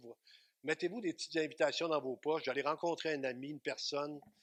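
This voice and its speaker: At a fairly quick pace, a speaker with a Quebec accent talks in a dry, close sound with no echo. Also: man. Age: 60s. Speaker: pastor. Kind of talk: sermon. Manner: animated.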